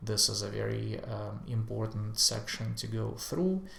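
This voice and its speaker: Audible room echo surrounds a man as he talks fairly slowly. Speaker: software tutorial creator. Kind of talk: screen-share tutorial. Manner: hesitant, many fillers.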